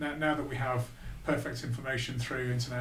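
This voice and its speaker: A man's medium-pitched voice at a very fast pace, fairly even in intonation, with audible room echo and noticeable background noise. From northern England, Blackpool. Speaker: business executive. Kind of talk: interview.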